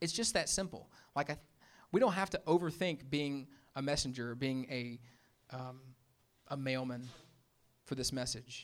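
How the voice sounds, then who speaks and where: A man with a Memphis accent and a fairly high pitch, ordinary pitch variation, a moderate pace with long, frequent pauses, and a very clean recording with a silent background. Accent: Southern US (Memphis). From US South, Memphis, Tennessee. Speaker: pastor. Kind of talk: sermon. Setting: church with congregation. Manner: casual, conversational.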